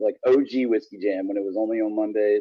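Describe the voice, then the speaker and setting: This is a man's voice. He speaks with a Virginia accent. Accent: Virginia Southern. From Virginia, small town. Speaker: country musician. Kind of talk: interview. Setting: studio. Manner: halting.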